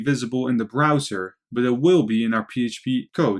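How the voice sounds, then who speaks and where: A man speaks with a Dutch accent at a medium pitch and with ordinary pitch variation. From Netherlands. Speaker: programming instructor. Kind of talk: tutorial.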